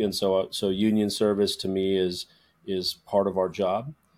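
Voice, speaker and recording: On a very clean recording with a silent background, a man speaks at a moderate pace in a fairly low, monotone, flat voice. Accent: American. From Minnesota, Twin Cities. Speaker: actor. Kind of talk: interview.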